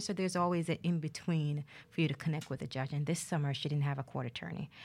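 A woman with an American accent talks at a very fast pace, fairly low in pitch, with ordinary pitch variation. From Jamaica, Ocho Rios. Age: 30s. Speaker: lawyer. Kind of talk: interview.

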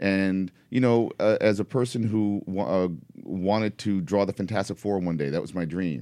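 On a very clean recording with a silent background, a man with a New York accent speaks at a moderate pace in a fairly low voice with a dark, mellow tone and ordinary pitch variation. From New York City, Upper West Side Manhattan. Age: 40s. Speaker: comic book artist and writer. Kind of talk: casual chat. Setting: studio.

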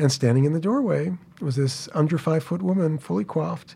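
A man with an American accent, fairly high-pitched and somewhat breathy, dark and mellow in tone, at a fairly quick pace. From New York City (Queens). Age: 60s. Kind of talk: storytelling interview.

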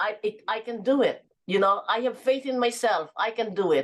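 Here a woman talks with a Filipino accent. Her pitch sits fairly high. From Philippines (Sorsogon). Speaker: businesswoman and author. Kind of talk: interview.

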